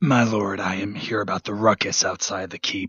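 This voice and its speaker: A raspy, fairly low-pitched male put-on character voice with fairly even intonation. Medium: read story. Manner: deferential, hesitant.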